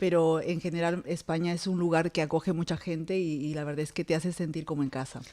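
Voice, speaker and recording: Speaking at a fairly quick pace, a woman with a fairly low pitch and a plain, everyday voice is heard on a very clean recording with a silent background. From Peru. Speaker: podcast host, dentist. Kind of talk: interview.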